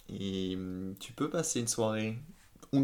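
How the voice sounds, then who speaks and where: A man at a fairly slow pace with ordinary pitch variation. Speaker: engineer. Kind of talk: casual chat. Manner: hesitant, repeats words.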